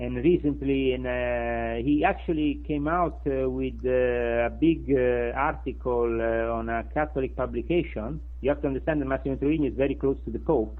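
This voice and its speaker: With a strong Sicilian accent, a man speaks at a moderate pace with hardly any pauses. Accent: thick Sicilian. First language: Italian. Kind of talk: interview answer. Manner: hesitant, many filler sounds.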